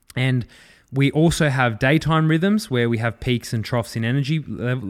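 A man with an Australian accent, fairly quick pace and ordinary pitch variation, on a very clean recording with a silent background. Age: 20s. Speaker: fitness and rehab coach, podcast host. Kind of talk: solo educational podcast. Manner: casual, with frequent fillers and repetitions.

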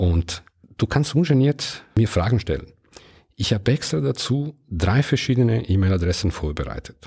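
With an Italian-Swiss accent, a man talks at a moderate pace in a fairly low, dark, mellow voice that is somewhat breathy and swings very widely in pitch. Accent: Italian-Swiss, non-native German. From Ticino, Switzerland. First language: Italian (speaking German). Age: 50s. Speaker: podcast host. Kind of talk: solo podcast monologue.

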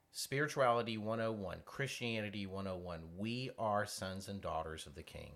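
A man with an ordinary speaking voice, fairly low in pitch, with ordinary pitch variation, hardly any pauses and big swings in loudness. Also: moderate pace. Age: 50s. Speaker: counseling ministry radio host. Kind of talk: faith-based counseling talk show.

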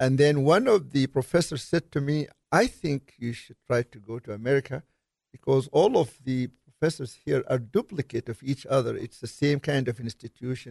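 A man talks at medium pitch, somewhat breathy, with ordinary pitch variation. The sound is dry and close, with no echo. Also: moderate pace. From Sudan. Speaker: engineering professor. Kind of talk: casual interview.

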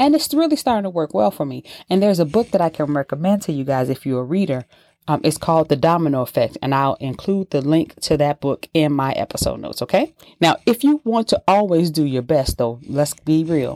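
Lively intonation and a dark, mellow tone come at a fairly quick pace in a dry, close sound with no echo, on a very clean recording with a silent background. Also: woman, very deep, low pitch for a woman. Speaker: podcast host. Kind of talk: motivational talk. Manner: animated.

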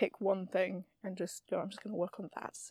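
A woman's dark, mellow tone at a medium pitch, with fairly even intonation and a dry, close sound with no echo. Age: 20s. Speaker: amateur theatre archivist. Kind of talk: interview. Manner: halting.

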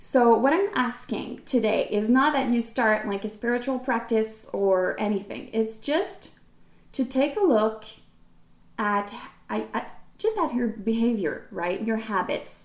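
With a Quebec accent, a woman speaks at a fairly slow pace in a fairly high pitch, using ordinary pitch variation. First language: French. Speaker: podcast host and fashion designer. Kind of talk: casual solo podcast talk. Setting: recording alone to camera. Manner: hesitant, many fillers.

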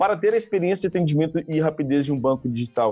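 At a fairly quick pace, a man speaks with a dark, mellow tone and ordinary pitch variation. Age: 20s. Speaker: tech startup CEO. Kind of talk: podcast interview.

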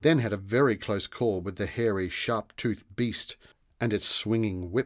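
The clip features a natural reading voice.

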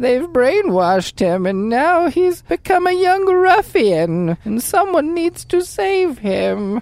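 Speaking fairly slowly at a high pitch, a woman swings very widely in pitch and hardly pauses at all. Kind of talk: comic old-lady voice. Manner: pleading, fussy, indignant.

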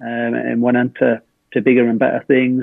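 Here is a man in a northeast English accent. His pitch is medium and his intonation is monotone and flat. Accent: northeast English (Hartlepool). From northeast England. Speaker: former footballer. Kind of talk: casual chat. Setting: video call.

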